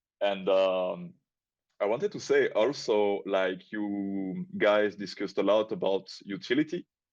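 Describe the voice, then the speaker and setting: Speaking at a fairly slow pace against a quiet background, a man with a fairly low pitch and a strong non-native accent uses lively intonation. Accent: strong foreign. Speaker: crypto project community member. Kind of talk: casual chat. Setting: online audio space. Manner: halting.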